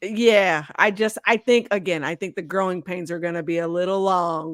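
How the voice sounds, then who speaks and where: A woman of medium pitch speaks with an American accent in a very clean recording with a silent background and a dry, close sound with no echo. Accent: slight Southern drawl at times. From Texas, Houston. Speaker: sports writer. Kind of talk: casual chat. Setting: podcast.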